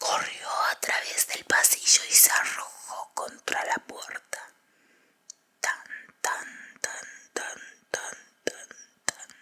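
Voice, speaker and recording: Whispering at a very slow pace, with long, frequent pauses. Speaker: ASMR audiobook reader. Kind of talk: horror audiobook reading. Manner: whispered.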